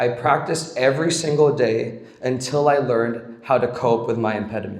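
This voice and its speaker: A somewhat breathy man with medium pitch speaks at a fairly slow pace amid audible room echo. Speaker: camp staff member. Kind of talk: speech.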